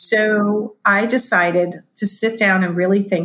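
Fairly even intonation runs through this somewhat breathy voice. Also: woman. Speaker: business coach and body language expert. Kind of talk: casual interview chat. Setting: video call.

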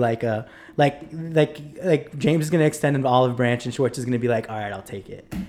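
A man speaks in a normal speaking voice, with ordinary pitch variation and big swings in loudness. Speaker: podcast guest. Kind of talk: casual chat.

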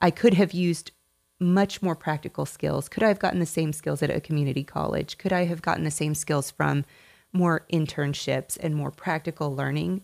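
A woman speaks at a very deep, low pitch with ordinary pitch variation and a moderate pace. The very clean recording has a silent background and a dry, close sound with no echo. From Tennessee. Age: 40s. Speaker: marketing agency owner. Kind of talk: interview.

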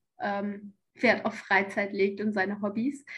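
A woman speaks at a moderate pace. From Hessen, near Frankfurt. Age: 20s. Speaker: bodybuilding athlete and medical student. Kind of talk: podcast interview.

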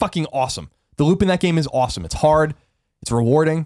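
Very fast and with an American accent, a man speaks at a fairly high pitch on a very clean recording with a silent background. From US Northeast, Long Island. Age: 30s. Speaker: video game podcast co-host. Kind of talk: casual chat.

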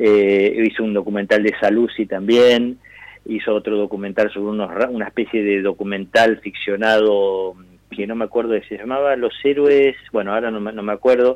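With a normal speaking voice, a man talks at a moderate pace, his pitch fairly low and intonation fairly even. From Argentina. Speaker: actor. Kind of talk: interview.

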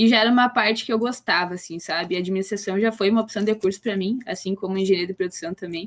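A woman with a plain, everyday voice talks at a fairly quick pace, medium in pitch and fairly even in intonation, in a very clean recording with a silent background. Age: 20s. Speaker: engineering student, former student company president. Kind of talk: casual chat.

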